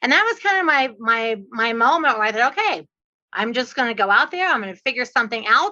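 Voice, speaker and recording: A woman talks at a very fast pace in a high, bright, sharp voice, her pitch swinging very widely. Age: 60s. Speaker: real estate investor and trainer. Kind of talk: podcast interview.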